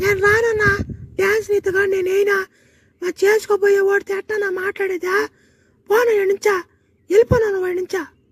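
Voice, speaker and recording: A cartoonish character voice from a woman, extremely high in pitch, monotone and flat, at a moderate pace. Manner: soft, earnest.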